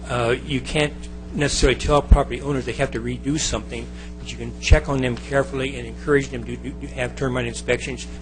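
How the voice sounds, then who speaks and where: There is music in the background. The talking runs at a very fast pace. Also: man. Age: 70s. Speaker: planning commission applicant, retired army officer. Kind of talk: public comment and interview at council meeting. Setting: city council meeting. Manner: formal.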